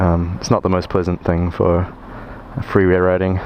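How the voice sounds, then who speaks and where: At a moderate pace, a man with a New Zealand accent speaks in a very deep, low voice over noticeable background noise. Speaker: motovlogger. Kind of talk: casual vlog narration while riding. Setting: outdoors on a motorcycle. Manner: hesitant, many fillers.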